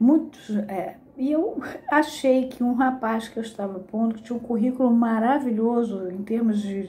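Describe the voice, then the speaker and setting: The speaker talks at a fairly slow pace with a Carioca accent and ordinary pitch variation. Audible room echo surrounds the voice. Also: woman. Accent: Carioca (Rio de Janeiro). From Brazil, Rio de Janeiro. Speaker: psychoanalysis teacher. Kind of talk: lecture.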